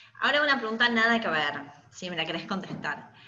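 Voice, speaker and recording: With a Rioplatense accent, a woman talks at a medium pitch using lively intonation. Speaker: podcast host, fashion designer. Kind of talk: interview.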